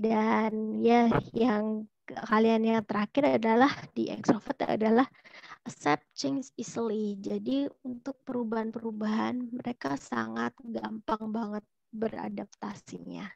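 A woman speaks at a fairly slow pace with a fairly high pitch and ordinary pitch variation. The sound is dry with no echo, over a quiet background. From Solo, Central Java, Indonesia; Central Java, Indonesia. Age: 30s. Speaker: career counselor; webinar host, presenter. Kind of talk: online seminar talk. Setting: video call. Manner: animated. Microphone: earbuds.

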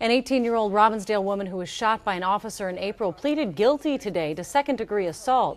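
Her intonation lively, a woman speaks at a fairly quick pace with a medium pitch. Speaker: news anchor. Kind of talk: newsreading. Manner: formal, steady. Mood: calm, serious. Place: studio. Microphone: lapel.

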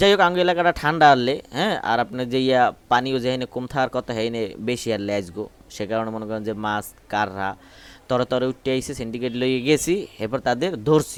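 A man with a normal speaking voice uses lively intonation at a medium pitch. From Barishal, Bangladesh. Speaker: pigeon keeper and video creator. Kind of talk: casual vlog narration. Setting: outdoors.

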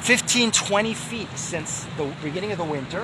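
Over noticeable background noise, a man uses a raised, projected voice at a high pitch with ordinary pitch variation and a dry sound with no echo. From Canada. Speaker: rabbi and history educator; rabbi, history educator. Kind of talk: casual walk-and-talk explanation. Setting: outdoors by a lake. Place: waterside. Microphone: phone near.

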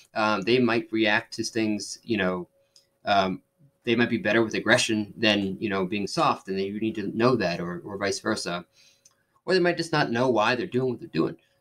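A man with a normal speaking voice and a fairly low pitch talks at a moderate pace with lively intonation. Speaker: chef turned tech startup founder. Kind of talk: interview.

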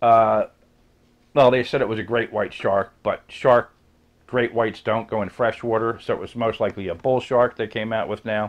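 Speaking with an American accent, a man keeps a medium pitch and a moderate pace. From New Jersey, US. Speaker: YouTuber; vlogger. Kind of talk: casual rant vlog. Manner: animated. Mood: sarcastic, complaining. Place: home room. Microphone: webcam.

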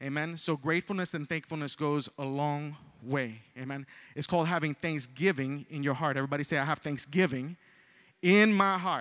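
Against a quiet background, a man talks at a fairly quick pace with ordinary variation in pitch. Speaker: preacher. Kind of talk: sermon. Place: church. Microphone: handheld.

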